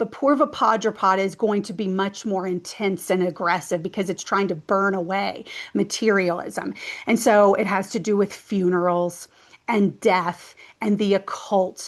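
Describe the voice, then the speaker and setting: At a moderate pace, a woman with a normal speaking voice talks at a medium pitch and fairly even intonation against a quiet background. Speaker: numerology and astrology teacher. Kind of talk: educational talk to camera. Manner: casual, conversational with fillers.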